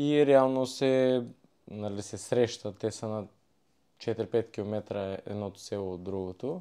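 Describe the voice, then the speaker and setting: At a very slow pace, a man talks in a dark, mellow tone. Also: medium pitch for a man, ordinary pitch variation. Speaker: former wrestler, podcast guest. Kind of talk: casual chat.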